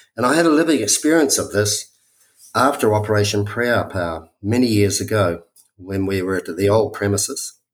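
Lively intonation marks this man's speech. He has a New Zealand accent and a fairly low pitch. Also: moderate pace. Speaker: spiritual workshop leader. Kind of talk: testimony. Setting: remote call.

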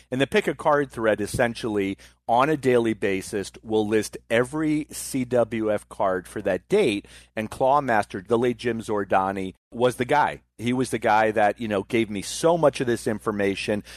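A man's normal speaking voice at medium pitch and moderate pace, with ordinary pitch variation, hardly any pauses, a dry, close sound with no echo and a quiet background. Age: 50s. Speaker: wrestling podcast host, guest co-host. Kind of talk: casual chat.

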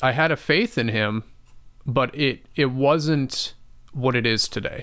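In an unremarkable speaking voice with an American accent, a man talks fairly slowly at medium pitch. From US Midwest, western Wisconsin. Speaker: testimony guest. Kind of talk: personal testimony interview. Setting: studio.

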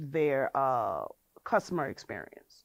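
The recording is very clean with a silent background as a woman speaks with a New Orleans accent. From US South, New Orleans. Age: 30s. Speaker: hair salon owner. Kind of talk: casual interview.

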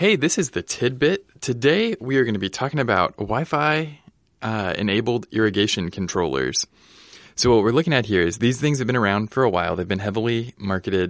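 A man talks at a fairly quick pace in an ordinary speaking voice, his medium pitch carrying lively intonation against a quiet background. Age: 20s. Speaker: podcast co-host. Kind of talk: casual chat; scripted segment. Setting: studio.

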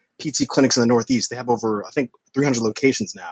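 A man with an American accent and a plain, everyday voice talks fairly quickly at a medium pitch, with ordinary pitch variation and a dry, close sound with no echo. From Long Island, New York. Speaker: physical therapist. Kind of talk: casual chat.

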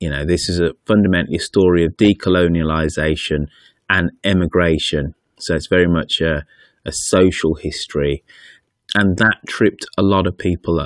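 A man with a British accent speaks in a very deep, low voice at a moderate pace with fairly even intonation. The sound is dry and close with no echo, in a very clean recording with a silent background. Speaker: podcaster interviewee. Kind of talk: interview.

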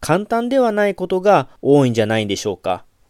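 Recorded very cleanly against a silent background, a man's voice has a dry, close sound with no echo. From Japan, Kagawa. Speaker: Buddhist monk and podcaster. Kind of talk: solo podcast talk answering listener questions. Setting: home recording with USB mic into laptop.

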